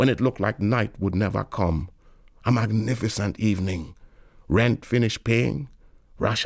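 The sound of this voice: It is an unforced reading voice. The pitch variation is ordinary.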